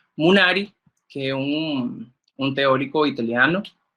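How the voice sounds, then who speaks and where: Speaking very slowly, a man with a Spanish accent uses a bright, sharp tone and lively intonation. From Nicaragua. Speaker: workshop instructor. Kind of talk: lecture. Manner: halting.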